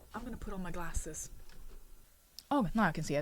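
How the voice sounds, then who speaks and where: On a very clean recording with a silent background, a woman speaks with a non-native accent at a fairly high pitch. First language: not English. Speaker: artist and comic creator. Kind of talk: casual vlog; reading aloud with commentary. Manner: halting.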